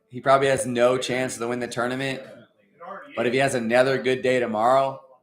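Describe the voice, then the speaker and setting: Intonation flat and monotone, a man speaks at a fairly quick pace. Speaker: amateur disc golf commentator. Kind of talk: live play-by-play commentary. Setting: at home on couch.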